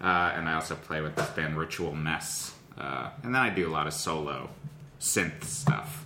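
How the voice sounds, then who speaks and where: A man with a very deep, low pitch and audible room echo. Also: ordinary pitch variation, moderate pace. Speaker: comedian. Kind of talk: casual chat.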